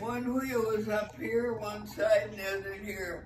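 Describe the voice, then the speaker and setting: A woman speaks at a very slow pace with ordinary pitch variation. Audible room echo and light background noise fill the recording. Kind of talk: interview answer. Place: home room.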